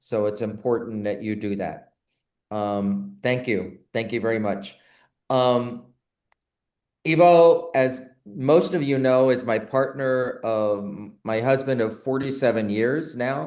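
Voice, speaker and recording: A man's very slow speech at a medium pitch with ordinary pitch variation, and audible room echo. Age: 70s. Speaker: board member hosting a nursing webinar. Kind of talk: online talk introduction.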